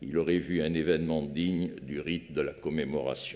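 With a very deep, low pitch and a dark, mellow tone, a man talks in fairly even intonation with vocal fry. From France. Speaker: foundation president. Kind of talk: formal eulogy speech. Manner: formal. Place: hall. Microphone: podium.

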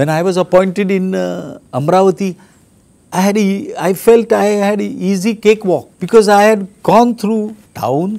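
A man with a Marathi accent, a high pitch, and a dark, mellow tone, speaking at a fairly slow pace. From India, Maharashtra. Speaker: archbishop. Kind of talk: testimony. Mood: reflective, reminiscing. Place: home room.

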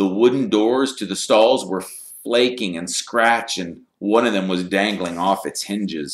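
There is an unforced reading voice with ordinary pitch variation and a quiet background.

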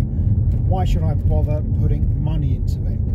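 Loud noise fills the background. Through it, a man talks. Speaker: car vlogger. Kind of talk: casual driving commentary. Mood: relaxed, opinionated. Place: car.

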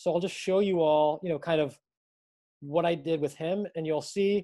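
Against a quiet background, a man talks in a dark, mellow tone at a fairly high pitch with ordinary pitch variation. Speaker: physical therapist and practice co-founder. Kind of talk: lecture to students. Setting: video call. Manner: talkative, long-winded. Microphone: video call.

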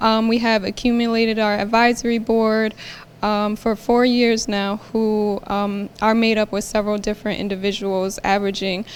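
At a moderate pace, a woman speaks with a fairly high pitch. Her intonation stays monotone and flat. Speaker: nonprofit organization representative. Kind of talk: public presentation. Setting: city council meeting. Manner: soft-spoken; hesitant, many fillers.

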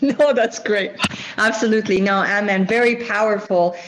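A moderate pace with fairly even intonation. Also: woman. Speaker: founder of peacebuilding nonprofit, panel moderator; panelist. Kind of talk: moderated panel discussion. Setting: video call. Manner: formal. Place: home room. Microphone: earbuds.

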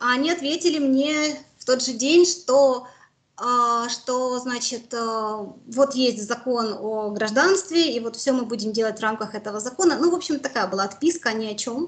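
Her high-pitched voice moves at a fairly slow pace. The woman's intonation is lively. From Mariupol, Ukraine; Ukraine. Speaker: war survivor, former civic activist; interviewee. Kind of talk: interview testimony. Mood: serious, recounting hardship. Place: home room. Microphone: video call.

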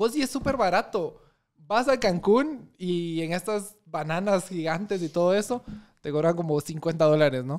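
A man speaks fairly slowly at a high pitch, his intonation lively, over a quiet background. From Guatemala, Chimaltenango; Guatemala. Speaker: lawyer. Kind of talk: casual chat. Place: studio. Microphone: studio mic.

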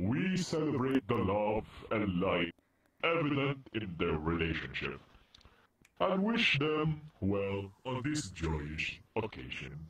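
At a fairly slow pace, the speaker's put-on character voice swings very widely in pitch. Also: man, fairly low pitch for a man. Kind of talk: mock-solemn wedding ceremony speech. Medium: game stream. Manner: formal and earnest, turning to deadpan threats.

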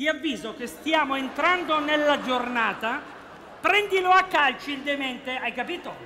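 Over noticeable background noise, a man uses a raised, projected voice at a moderate pace with ordinary pitch variation. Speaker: comedy actor playing a security guard. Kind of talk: comedy sketch dialogue. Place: stage. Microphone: headset.

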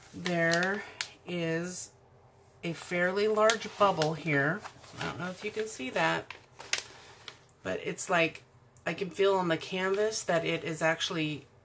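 Over noticeable background noise, a woman with a fairly low pitch speaks at a fairly slow pace with ordinary pitch variation and long, frequent pauses. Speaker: crafter reviewing a kit. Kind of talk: casual unboxing commentary. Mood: mildly disappointed. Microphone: camera far.

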